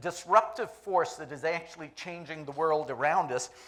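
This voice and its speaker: A man speaks loudly. His pace is moderate. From Jamaica. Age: 50s. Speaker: conference speaker. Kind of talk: keynote talk.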